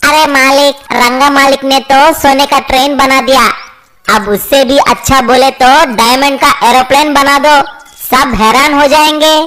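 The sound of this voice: A woman puts on a cartoonish character voice, high-pitched with monotone, flat intonation, at a moderate pace.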